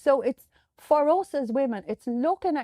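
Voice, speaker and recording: A woman speaks with lively intonation and a dark, mellow tone. The sound is dry and close with no echo, in a very clean recording over a silent background. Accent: Irish. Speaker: podcast host. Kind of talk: podcast monologue. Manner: conversational, some hesitations.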